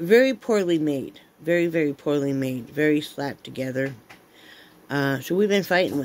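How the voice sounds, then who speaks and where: With lively intonation and big swings in loudness, a woman speaks at a moderate pace in a very deep, low voice. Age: 50s. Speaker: vlogger. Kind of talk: casual chat. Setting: home. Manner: animated. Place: home room. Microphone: phone near.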